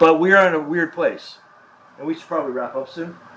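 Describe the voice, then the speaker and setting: The speaker has an American accent. Noticeable background noise runs behind the voice. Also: man. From US Midwest, Chicago. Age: 60s. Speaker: author and media experimenter. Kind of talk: onstage conversation.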